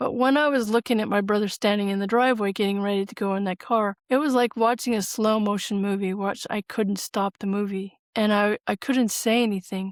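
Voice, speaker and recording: Fairly quick woman's delivery with hardly any pauses, an ordinary speaking voice at medium pitch, fairly even intonation, and a very clean recording with a silent background. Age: 60s. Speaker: spiritual author and grief counselor. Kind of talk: interview testimony. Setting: podcast interview.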